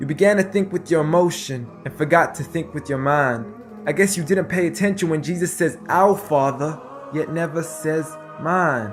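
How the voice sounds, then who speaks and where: Over background music, a man with a fairly high pitch talks at a moderate pace with ordinary pitch variation. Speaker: spoken word poet. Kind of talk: spoken word poetry performance.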